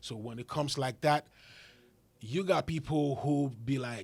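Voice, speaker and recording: The man's voice is somewhat breathy. He speaks at a moderate pace with fairly even intonation. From Ghana. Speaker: rapper. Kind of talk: podcast interview.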